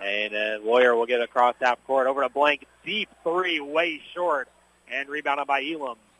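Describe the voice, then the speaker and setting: This is a man with a fairly high pitch. His pitch varies in an ordinary way. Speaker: high school basketball radio play-by-play announcer. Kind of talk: live play-by-play basketball commentary, rattling off substitutions and shot calls. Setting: courtside broadcast at a high school gym. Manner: rapid-fire narration of each possession as it happens; heavy filler, frequent 'uh' hesitations.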